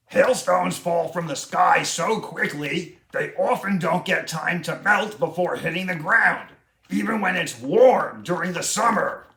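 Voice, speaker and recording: Using a raspy, cartoonish character voice, a man talks at a moderate pace in a high pitch. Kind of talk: educational facts for children. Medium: puppet.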